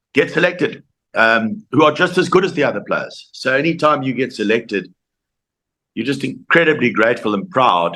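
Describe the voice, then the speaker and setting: A man with a South African accent, bright and sharp in tone, with vocal fry, very wide pitch swings and a moderate pace. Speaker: former rugby player. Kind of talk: interview. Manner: halting.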